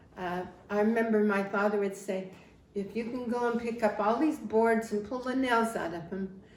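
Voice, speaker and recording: A woman with a fairly high pitch and an American accent, with audible room echo. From Wyoming, US Mountain West (rural). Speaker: family history interviewee. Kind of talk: life story interview. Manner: halting, with restarts.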